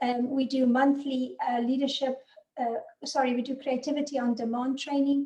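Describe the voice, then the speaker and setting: Speaking in a South African accent at a moderate pace, a woman has a high, dark and mellow voice with monotone, flat intonation. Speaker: business consultant and author. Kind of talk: webinar presentation.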